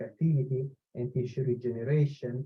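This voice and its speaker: A man's medium-pitched, somewhat breathy voice at a moderate pace, with fairly even intonation. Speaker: engineering professor. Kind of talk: webinar Q&A answer. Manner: hesitant, many fillers.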